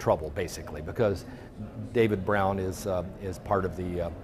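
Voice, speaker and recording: Audible room echo surrounds a man as he talks. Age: 60s. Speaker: journalist and activist. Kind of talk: interview. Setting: conference venue.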